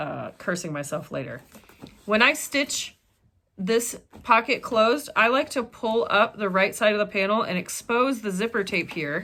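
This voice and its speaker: Loud and with a bright, sharp tone, a woman speaks at a fairly high pitch and a moderate pace. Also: lively intonation. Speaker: sewing pattern designer and tutorial creator. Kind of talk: casual chat; tutorial.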